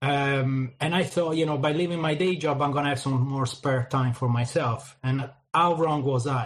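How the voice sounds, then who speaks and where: A man's fairly high, somewhat breathy voice with an Italian accent, fairly even intonation, very even loudness, a moderate pace, and hardly any pauses. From Italy. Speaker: crypto marketing project manager. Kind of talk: interview.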